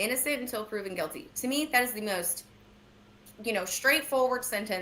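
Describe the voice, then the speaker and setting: The speaker moves at a fairly quick pace. Their intonation stays lively. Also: woman, fairly high pitch for a woman. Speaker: true crime commentator. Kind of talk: casual chat. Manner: fast.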